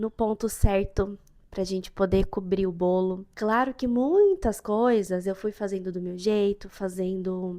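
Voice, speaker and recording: The voice has a dark, mellow tone and fairly even intonation. It moves at a very slow pace with hardly any pauses. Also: woman. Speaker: baker and vlogger. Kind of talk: cooking tutorial vlog. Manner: loud; speaking softer on purpose.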